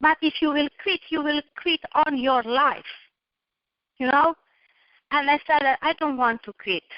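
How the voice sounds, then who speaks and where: A high-pitched woman with a non-native accent talks at a fairly slow pace, with long, frequent pauses. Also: ordinary pitch variation. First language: not English. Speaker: motivational guest speaker. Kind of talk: motivational presentation.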